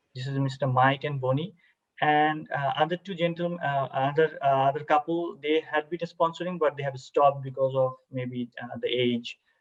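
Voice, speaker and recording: A man with a Bangladeshi accent speaks at a moderate pace in a fairly high voice. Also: fairly even intonation. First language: Bengali. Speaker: army officer. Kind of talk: cultural presentation. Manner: halting, many fillers; formal.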